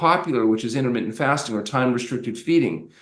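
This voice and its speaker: Speech comes at a very fast pace with audible echo from the room. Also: man. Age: 60s. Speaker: doctor, fasting expert. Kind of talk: podcast interview.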